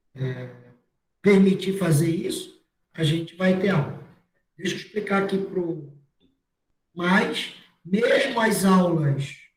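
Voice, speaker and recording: Amid audible room echo, a man speaks at a very slow pace and a high pitch, with ordinary pitch variation and long, frequent pauses. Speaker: university lecturer. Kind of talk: online class lecture.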